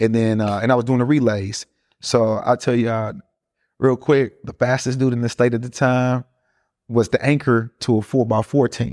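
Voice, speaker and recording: A man at a moderate pace, dry and close with no echo, in a very clean recording with a silent background. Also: medium pitch for a man, fairly even intonation. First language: Spanish. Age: 40s. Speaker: real estate investor and home care business owner. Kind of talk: casual interview.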